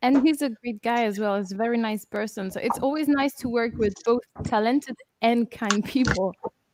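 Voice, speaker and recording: A woman with a French accent talks at a moderate pace and a fairly high pitch. Her pitch varies in an ordinary way, and the sound is dry and close with no echo. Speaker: metal band vocalist. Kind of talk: casual chat. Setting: live stream video call.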